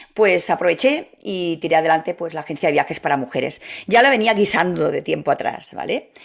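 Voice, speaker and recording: A woman with a fairly low pitch, vocal fry, lively intonation and a fairly quick pace. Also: very clean recording, silent background. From Catalonia, Spain. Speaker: travel agency founder. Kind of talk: interview.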